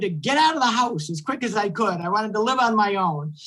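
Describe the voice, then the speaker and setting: Over music in the background, a man with an American accent speaks at a high pitch and a fairly quick pace, with lively intonation. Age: 60s. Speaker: county executive. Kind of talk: panel discussion.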